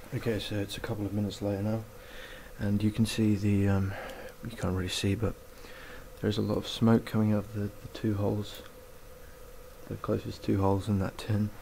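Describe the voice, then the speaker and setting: Amid noticeable background noise, a man whispers quietly at a fairly quick pace, broken by long, frequent pauses. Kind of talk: casual how-to tutorial talk to camera. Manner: almost whispering, quiet.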